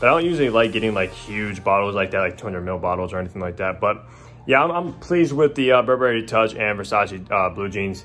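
Over faint music in the background, a man talks very fast at a fairly low pitch. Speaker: fragrance vlogger. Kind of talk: casual vlog chat. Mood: pleased, upbeat. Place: home room. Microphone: phone near.

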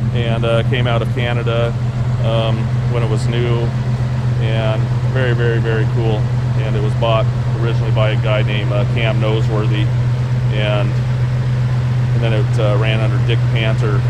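A man, long and frequent pauses, loud background noise behind him. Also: moderate pace. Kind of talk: casual walkaround sales commentary. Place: street. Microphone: phone near.

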